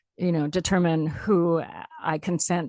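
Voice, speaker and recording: In a dry, close sound with no echo, a woman with an unremarkable speaking voice talks at a fairly slow pace and a fairly low pitch. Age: 60s. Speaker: radio host. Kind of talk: radio interview. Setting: radio studio.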